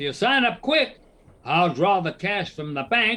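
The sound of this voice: A woman puts on a character voice, fairly low in pitch with a bright, sharp tone. She speaks fairly slowly with big pitch swings.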